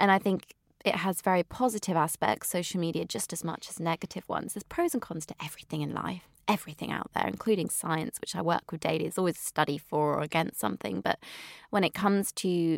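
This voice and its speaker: On a very clean recording with a silent background, a woman with a slight West Country accent speaks fairly quickly in a fairly low voice with vocal fry and ordinary pitch variation, the sound dry and close with no echo. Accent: slight West Country, drops her T's. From England, Wiltshire. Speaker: nutritionist. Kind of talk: interview.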